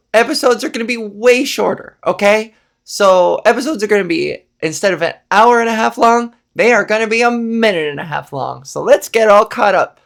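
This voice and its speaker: On a very clean recording with a silent background, a woman speaks in a normal speaking voice at a fairly high pitch with ordinary pitch variation. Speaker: comedian, podcast host. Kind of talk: casual comedic podcast talk.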